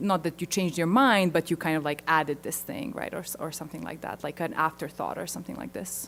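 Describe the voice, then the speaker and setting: A woman with a non-native accent at a moderate pace. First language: not English. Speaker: linguistics researcher. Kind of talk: conference Q&A. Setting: conference auditorium.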